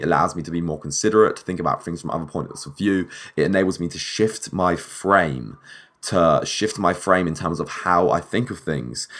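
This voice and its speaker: A man speaks fairly quickly in a very deep, low, husky voice with vocal fry and ordinary pitch variation. His tone is animated, and the recording is very clean with a silent background. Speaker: podcast host. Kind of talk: casual solo monologue.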